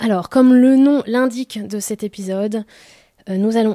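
A woman with a dark, mellow tone speaks at a fairly slow pace with fairly even intonation. The sound is dry and close with no echo, in a very clean recording with a silent background. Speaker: radio show co-host. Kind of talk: casual chat.

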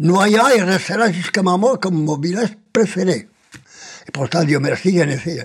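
With lively intonation, a man speaks at a moderate pace and high pitch. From Spain. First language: Spanish (speaking French). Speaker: political refugee, retiree. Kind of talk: testimony. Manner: halting.

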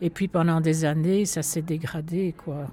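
Fairly even intonation in a woman's fairly low voice. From Brussels, Etterbeek. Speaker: local resident. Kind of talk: testimony.

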